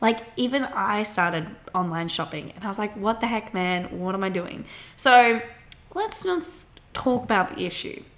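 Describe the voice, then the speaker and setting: A woman with an Australian accent speaks at a moderate pace in a fairly high pitch, her intonation lively, with noticeable background noise behind her. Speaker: podcast host, university student. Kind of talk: casual chat.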